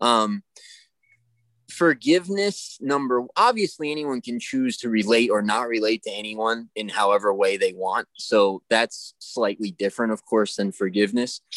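A man with a plain, everyday voice talks at a moderate pace and medium pitch with lively intonation, the sound dry and close with no echo. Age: 30s. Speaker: podcast co-host. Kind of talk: casual chat.

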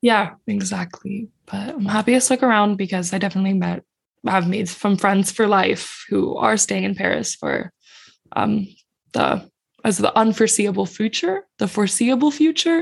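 At a moderate pace, a woman speaks at medium pitch with ordinary pitch variation and vocal fry. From Finland. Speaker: entrepreneur. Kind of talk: interview conversation.

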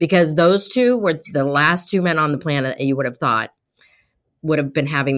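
With an American accent, a woman talks at a moderate pace in a very deep, low voice with ordinary pitch variation. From Colorado. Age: 60s. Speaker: podcast host. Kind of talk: interview. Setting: remote call. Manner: warm, animated.

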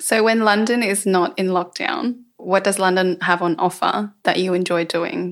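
A woman talks in a plain, everyday voice at a medium pitch and a moderate pace. Her intonation stays fairly even, with hardly any pauses. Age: 20s. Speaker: podcast host. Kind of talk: casual chat. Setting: at home.

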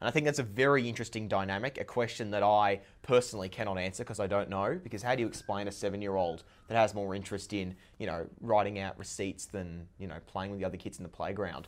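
This man speaks at a very fast pace with an Australian accent, his pitch fairly low with ordinary variation. The recording is very clean, with a silent background. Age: young. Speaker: young entrepreneur. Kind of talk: podcast interview.

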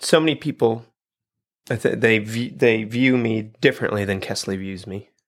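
A man with a normal speaking voice, big swings in loudness and ordinary pitch variation. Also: medium pitch for a man, moderate pace. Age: 40s. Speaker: podcast co-host and former teacher. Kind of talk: casual chat. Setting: studio.

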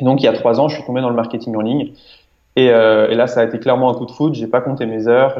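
A man talks in a normal speaking voice at a medium pitch. His intonation is fairly even. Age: 20s. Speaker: entrepreneur and online marketer. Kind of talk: interview.

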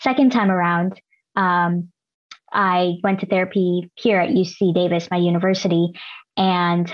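Speaking at a medium pitch, a woman with an American accent keeps her intonation fairly even. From US West Coast, Los Angeles. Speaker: mental health advocate and psychology student. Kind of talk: interview conversation.

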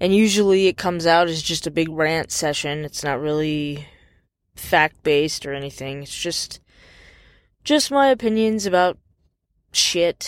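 On a very clean recording with a silent background, a woman speaks at a fairly low pitch and fairly slow pace, with lively intonation and long, frequent pauses. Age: 30s. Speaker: podcaster. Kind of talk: personal rant monologue.

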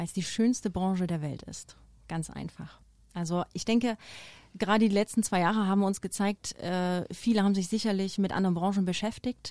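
In an ordinary speaking voice, a woman of medium pitch speaks at a fairly quick pace with fairly even intonation and big swings in loudness, in a very clean recording with a silent background. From eastern Germany, near Dresden. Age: 30s. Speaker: hotel HR director. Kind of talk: podcast interview. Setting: studio.

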